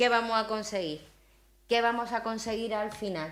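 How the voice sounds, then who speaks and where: This woman speaks at a fairly quick pace and a medium pitch. She talks with a strong Aragonese accent. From Spain, Zaragoza (Aragon). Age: 50s. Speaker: university leader, invited speaker. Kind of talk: talk with audience questions. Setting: breakfast event with audience.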